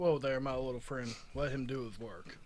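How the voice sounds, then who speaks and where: Clear background noise sits behind a man doing a put-on character voice. He talks at a moderate pace and medium pitch. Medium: actual play.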